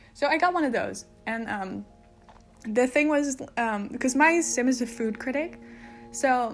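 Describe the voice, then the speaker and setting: Music plays in the background as a woman with a high pitch speaks at a fairly slow pace, with ordinary pitch variation and long, frequent pauses. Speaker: gaming video creator. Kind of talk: casual voice-over commentary. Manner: chatty, informal.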